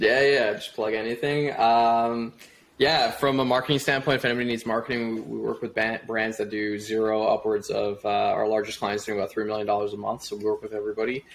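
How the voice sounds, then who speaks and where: With a Canadian accent, a man talks at a fairly quick pace in an unremarkable speaking voice, medium in pitch and with fairly even intonation. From Canada, Toronto. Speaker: e-commerce marketer. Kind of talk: casual interview.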